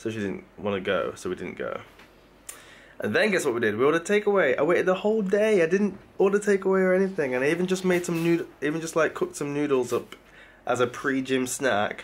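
This man talks at a very fast pace in a high pitch, his intonation lively. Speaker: vlogger. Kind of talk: casual vlog chat. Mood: mildly exasperated, joking. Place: home room. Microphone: phone near.

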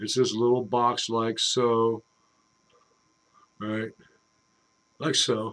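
Very slowly, a man says his words. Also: quiet background. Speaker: hobby machinist vlogger. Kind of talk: casual vlog chat. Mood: jokey, wry. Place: workshop. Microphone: webcam.

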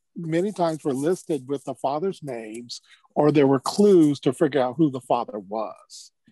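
With lively intonation and a dark, mellow tone, a man speaks in a dry sound with no echo against a quiet background. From California, Los Angeles. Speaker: archivist; panelist. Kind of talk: panel discussion. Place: office. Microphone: earbuds.

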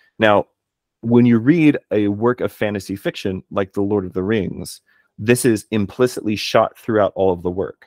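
Fairly low-pitched man with an American accent, ordinary pitch variation and a moderate pace, against a quiet background. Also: dry sound with no echo. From Texas. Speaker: philologist and martial artist; podcast guest. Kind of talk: casual chat. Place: home room. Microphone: studio mic.

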